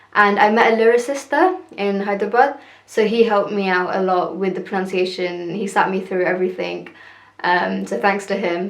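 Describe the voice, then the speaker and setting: A woman with a British accent and medium pitch talks at a moderate pace with ordinary pitch variation, with audible room echo. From UK, Telugu heritage. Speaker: singer and vlogger. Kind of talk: casual vlog talk. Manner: hesitant, many fillers.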